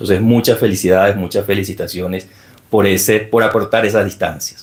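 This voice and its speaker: This is a man speaking with a Venezuelan accent. His pitch is fairly low. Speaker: security expert and book presenter. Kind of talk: formal speech at book launch. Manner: formal.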